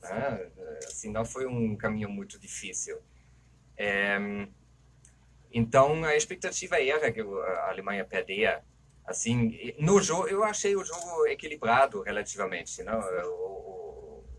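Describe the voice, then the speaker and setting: With noticeable background noise, a man speaks at a fairly slow pace, using long, frequent pauses. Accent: German. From Germany. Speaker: anthropologist, football pundit. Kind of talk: casual discussion.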